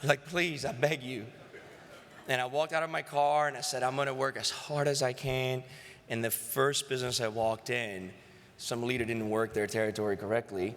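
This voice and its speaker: The speaker has a Greek accent and an animated tone. The pace is fairly quick, with ordinary pitch variation. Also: man, medium pitch for a man. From Greece. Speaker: sales executive. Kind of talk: acceptance speech.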